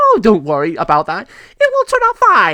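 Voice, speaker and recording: A man in a put-on character voice, dry and close with no echo. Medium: read story. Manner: casual, jokey.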